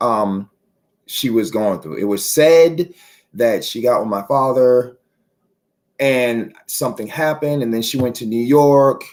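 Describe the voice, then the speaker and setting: At a fairly slow pace with long, frequent pauses, a man speaks in an animated tone at medium pitch with ordinary pitch variation. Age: 40s. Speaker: author and poet talking about mental health. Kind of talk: interview. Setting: live stream.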